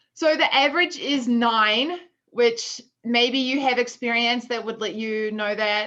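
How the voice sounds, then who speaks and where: A woman speaks at a moderate pace with a New Zealand accent and a fairly high pitch. Her tone is bright and sharp, with ordinary pitch variation. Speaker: food business co-founder, workshop presenter. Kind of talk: online workshop presentation.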